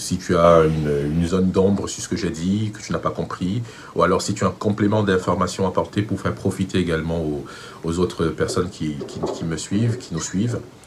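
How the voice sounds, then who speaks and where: A man talks at a fairly quick pace with a very deep, low pitch. His pitch variation is ordinary, and noticeable background noise sits behind him. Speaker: vocal coach. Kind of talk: tutorial.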